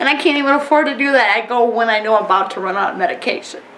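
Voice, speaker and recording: A woman speaks at a fairly quick pace with very wide pitch swings, amid noticeable background noise and audible room echo. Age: 40s. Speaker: oil spill affected resident. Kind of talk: emotional testimony. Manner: animated.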